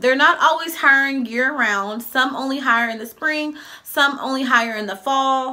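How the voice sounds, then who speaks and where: A woman with a high voice speaks in a raised, projected way, her loudness swinging widely and her pitch varying in an ordinary way, over noticeable background noise. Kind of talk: casual advice vlog. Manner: fast.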